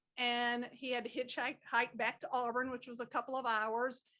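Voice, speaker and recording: A woman with a strong Southern accent, high pitch, bright, sharp tone and monotone, flat intonation at a fairly quick pace. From Georgia (Rome), US South. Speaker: podcast guest, hosts' mother. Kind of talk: casual chat.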